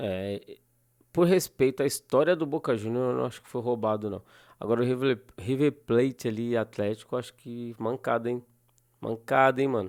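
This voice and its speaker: Over a silent background, this very clean recording captures a man at a medium pitch. He speaks at a moderate pace with ordinary pitch variation and big swings in loudness. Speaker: youtube reactor. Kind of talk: reaction commentary. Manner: animated.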